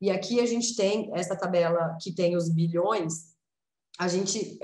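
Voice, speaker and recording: A woman's somewhat breathy voice sits at medium pitch with ordinary pitch variation. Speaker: lawyer and researcher, speaker. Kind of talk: presentation.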